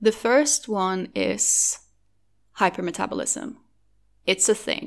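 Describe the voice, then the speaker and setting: A woman with a Norwegian accent speaks in a fairly high, bright, sharp voice with vocal fry and lively intonation, on a very clean recording with a silent background. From Norway. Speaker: podcast host, eating disorder recovery advocate. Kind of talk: solo podcast monologue.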